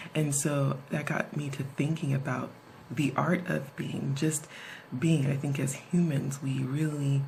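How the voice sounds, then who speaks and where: A woman whispers at a fairly slow pace. Noticeable background noise and audible room echo accompany her. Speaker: video blogger. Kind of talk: casual vlog talk. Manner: whispering.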